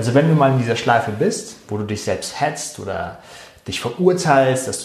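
A man's medium-pitched voice with very wide pitch swings, over noticeable background noise. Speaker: meditation guide. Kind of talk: guided meditation. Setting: recorded live show for Facebook. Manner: calm, slow and soothing, soft-spoken, with gentle pauses.

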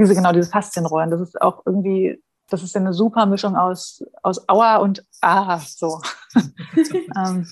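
Somewhat breathy, a woman speaks with a medium pitch and ordinary pitch variation. Her pace is moderate. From Saxony-Anhalt, eastern Germany (Dessau). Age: 30s. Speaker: special education teacher. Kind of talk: casual interview.

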